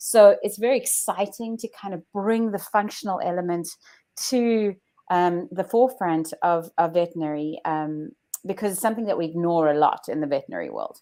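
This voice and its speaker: A woman speaks with a South African accent at a fairly quick pace, her medium-pitched voice dark and mellow. Her pitch varies in an ordinary way, and the recording is very clean with a silent background. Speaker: chiropractor. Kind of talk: interview. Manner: hesitant.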